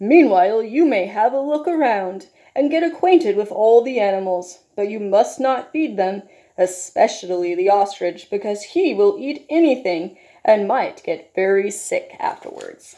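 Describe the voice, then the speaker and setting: A woman's put-on character voice, fairly high in pitch, at a moderate pace. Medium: read story. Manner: firm, directive.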